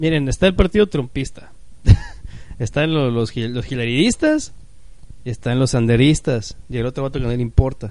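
A man at a medium pitch speaks at a moderate pace with a Mexican accent, his animated tone carrying big swings in loudness, ordinary pitch variation and long, frequent pauses. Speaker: podcast host. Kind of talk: casual chat. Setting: live-streamed podcast recording.

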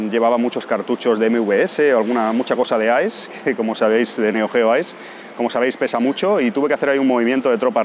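A man talks at a medium pitch and a moderate pace with fairly even intonation. Noticeable background noise runs behind him. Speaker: travel podcaster. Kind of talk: casual monologue. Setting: airport.

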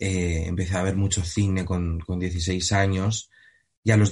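A man speaks in a somewhat breathy, fairly low voice. The background is quiet. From Spain. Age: 20s. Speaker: actor. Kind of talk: interview. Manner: halting, frequent repetitions and fillers.

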